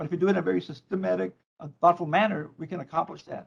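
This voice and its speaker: A man with a Spanish accent speaks at a very fast pace in a high pitch. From Mexico (Tijuana). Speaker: probation chief. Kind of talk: public meeting presentation. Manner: halting, repeats words.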